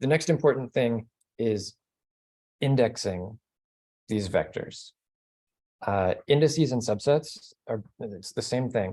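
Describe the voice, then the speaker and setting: The voice has a dark, mellow tone and ordinary pitch variation, moving at a very slow pace with long, frequent pauses. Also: man, medium pitch for a man. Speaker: statistics instructor. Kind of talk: lecture.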